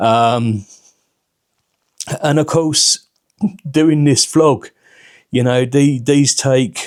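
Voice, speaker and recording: A man speaks very slowly in a British accent. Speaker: vlogger with liver cirrhosis. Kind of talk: casual vlog monologue. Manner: halting, many fillers and repeated words.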